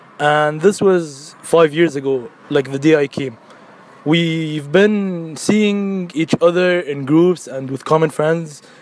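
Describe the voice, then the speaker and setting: Over noticeable background noise, a man talks very slowly at a fairly high pitch, with ordinary pitch variation. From Abu Dhabi, UAE. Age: 20s. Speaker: university student. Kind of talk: personal testimony.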